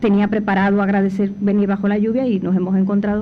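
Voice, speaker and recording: Speaking at a very fast pace, a woman with a medium-pitched voice is heard with audible room echo. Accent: Cuban. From Cuba. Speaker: panel speaker, former foundation director. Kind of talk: conference talk. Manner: hesitant fillers.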